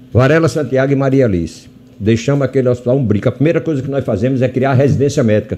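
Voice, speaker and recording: The man talks at a very fast pace in a medium pitch with a dark, mellow tone. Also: ordinary pitch variation. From Brazil, Rio Grande do Norte (Natal). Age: 80s+. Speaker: physician and hospital director. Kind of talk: radio interview.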